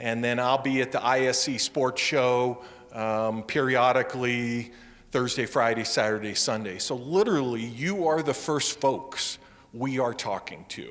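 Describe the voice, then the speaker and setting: A man speaks at a fairly slow pace. His pitch is medium, with ordinary pitch variation. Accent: American. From US Midwest. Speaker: wildlife agency safety program manager. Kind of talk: public presentation.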